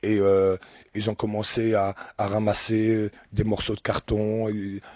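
A man's fairly low voice has a dark, mellow tone and monotone, flat intonation. The sound is dry and close with no echo, over a quiet background. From Algeria. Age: 50s. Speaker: charity shop worker. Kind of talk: radio interview with children. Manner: halting.

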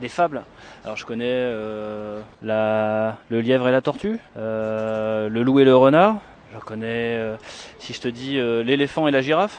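This man speaks at a very slow pace with fairly even intonation. His loudness swings widely. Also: medium pitch for a man. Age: 20s. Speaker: passer-by. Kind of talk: street interview. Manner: hesitant.

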